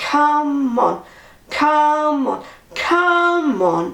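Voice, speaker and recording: A woman uses a put-on character voice at a high pitch. An echo is audible. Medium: read story.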